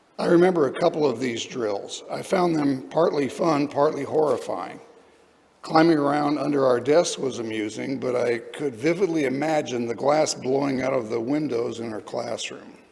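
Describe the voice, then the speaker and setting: Over noticeable background noise and audible room echo, a man speaks at a moderate pace in a fairly high pitch with ordinary pitch variation. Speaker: lay speaker at a church service. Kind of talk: sermon.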